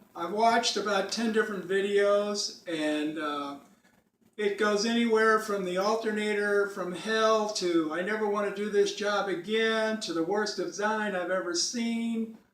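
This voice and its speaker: A man talks at a fairly slow pace with a high pitch and fairly even intonation. Audible room echo surrounds the recording. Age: 70s. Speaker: retired DIY car repairer. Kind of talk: tutorial. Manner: casual.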